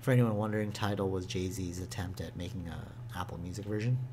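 A man's somewhat breathy, fairly low-pitched voice with fairly even intonation and audible room echo. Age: 20s. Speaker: gaming podcast co-host. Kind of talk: casual chat.

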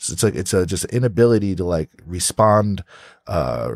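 A man with a very deep, low pitch speaks in a New Jersey accent and lively intonation. The recording is very clean, with a silent background. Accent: New Jersey American English. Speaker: podcast host. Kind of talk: casual interview chat. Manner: animated.

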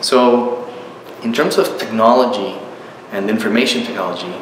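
A man speaks with noticeable background noise and audible room echo. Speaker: university professor. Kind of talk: interview answer. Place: home room.

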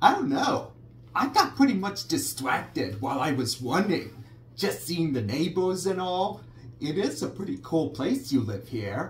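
A man performs a cartoonish character voice at a fairly high pitch. Clear background noise is present. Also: moderate pace. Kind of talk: cartoon impression. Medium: puppet show. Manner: dopey, cheerful, boastful.

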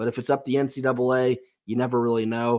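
Talking at a fast pace, a man uses a medium pitch, a slightly mellow tone and little pitch movement.

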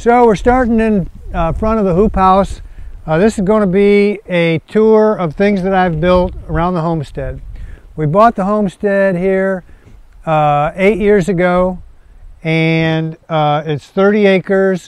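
A man with a high pitch and ordinary pitch variation talks at a fairly slow pace, the sound dry with no echo. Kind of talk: casual tour commentary. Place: open country.

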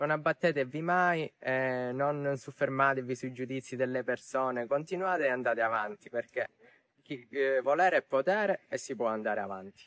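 A man's voice with ordinary pitch variation, dry and echo-free, against a quiet background. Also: moderate pace. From Sicily. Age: young. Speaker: TV game show contestant and student. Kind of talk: interview answer. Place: open country. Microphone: lapel.

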